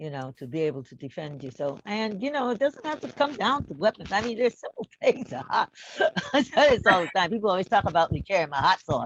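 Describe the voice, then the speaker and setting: Speaking with an American accent and vocal fry, a woman at medium pitch uses very wide pitch swings and big swings in loudness. The sound is dry and close with no echo. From upstate New York. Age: 80s+. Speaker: activist, reverend. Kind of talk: panel discussion.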